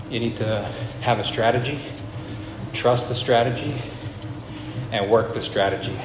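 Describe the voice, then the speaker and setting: A man with a medium-pitched voice speaks at a moderate pace with monotone, flat intonation and long, frequent pauses, amid noticeable background noise and audible room echo. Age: 20s. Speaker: video business owner sharing personal story. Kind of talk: personal monologue. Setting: on an elliptical machine.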